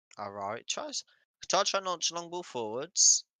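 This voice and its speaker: Speaking fairly slowly with a British accent, a man has lively intonation and a bright, sharp tone in a dry, close sound with no echo. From Britain. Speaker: football watchalong streamer. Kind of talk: live commentary. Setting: live stream. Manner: casual, chatty.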